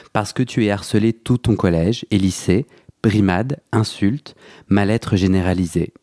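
A man's fairly low, dark and mellow voice at a fairly slow pace, with ordinary pitch variation, in a dry, close sound with no echo and a very clean recording over a silent background. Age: 30s. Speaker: podcast host. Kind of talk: interview. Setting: home, on a sofa.

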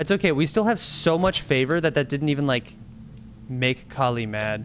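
Music plays behind a man whose fairly high voice sounds animated, with lively intonation. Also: moderate pace. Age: 20s. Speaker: video game streamer. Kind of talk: live game streaming commentary.

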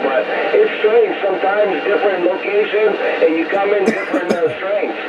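The pitch moves in an ordinary way at a fairly quick pace. Loud background noise runs underneath. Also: man. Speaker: distant radio operator. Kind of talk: radio chat. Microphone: two way radio.

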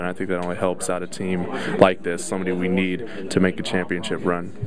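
Speaking fairly quickly with a very deep, low pitch, a man is heard in a dry sound with no echo, over noticeable background noise. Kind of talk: interview answer. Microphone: handheld.

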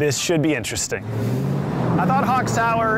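Dry, echo-free sound at a moderate pace, with loud background noise. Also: man. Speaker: hype man and event host. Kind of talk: casual talk to camera. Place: stadium.

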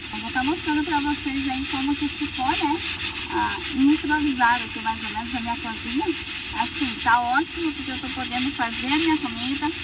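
Against loud background noise, a woman speaks at a moderate pace. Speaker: truck driver vlogger. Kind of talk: casual vlog chat. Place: open country. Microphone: phone near.

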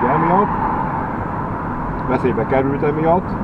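Over loud background noise, a man talks with a dry sound that has no echo. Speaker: driving vlogger. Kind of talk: casual vlog chat. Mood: frustrated complaint about trains. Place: car. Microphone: camera far.

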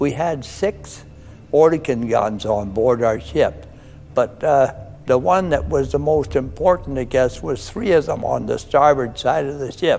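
Faint music plays in the background as the speaker goes at a fairly slow pace. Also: man. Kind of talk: interview answer. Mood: reflective, occasionally laughing. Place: home room.

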